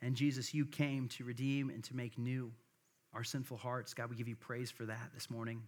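With an American accent, a man talks in a medium pitch and a monotone, flat intonation. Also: moderate pace. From US Midwest. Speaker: pastor. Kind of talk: sermon. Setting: church. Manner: casual, hesitant with many filler words.

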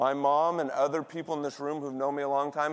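This man has an ordinary speaking voice with a fairly high pitch and keeps a moderate pace. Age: 40s. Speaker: pastor. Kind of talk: sermon. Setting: church.

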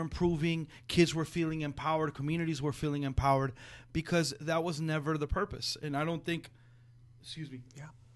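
Speaking with a Spanish accent against a quiet background, a man uses a fairly high pitch and fairly even intonation at a fairly quick pace. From Jalisco, Mexico. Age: 40s. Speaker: educator and school founder. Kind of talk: interview conversation. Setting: foundation conference room.

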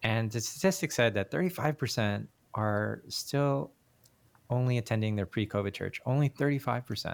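This man has a normal speaking voice at a medium pitch, with lively intonation and a moderate pace. The recording is very clean, with a silent background. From Canada, Korean Canadian. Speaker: senior pastor and adjunct professor. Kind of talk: casual interview conversation.

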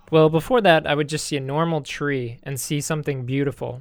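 Using a plain, everyday voice, a man speaks at a fairly high pitch and a fairly slow pace. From Texas. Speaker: English teacher and communication consultant. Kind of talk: reading aloud; casual chat.

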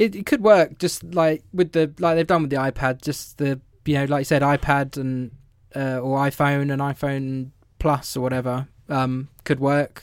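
Speaking in a southern English accent, a man uses a fairly high pitch. His intonation is fairly even and his pace moderate. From England, London area. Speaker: podcast co-host. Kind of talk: casual chat. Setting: remote audio call.

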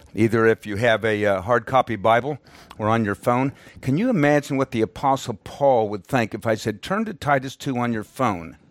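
In an unremarkable speaking voice, a man talks at medium pitch and a moderate pace with ordinary pitch variation. The recording is very clean with a silent background, and the sound is dry and close with no echo. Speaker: missionary and Bible teacher. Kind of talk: sermon. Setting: church, visiting Perth, Australia. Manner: formal, teaching.

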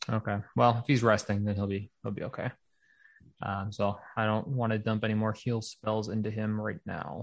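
Against a quiet background, a man speaks in a normal speaking voice, fairly low in pitch with fairly even intonation. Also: moderate pace. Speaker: tabletop player. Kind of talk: casual role-play chat with dice calls. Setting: live stream.

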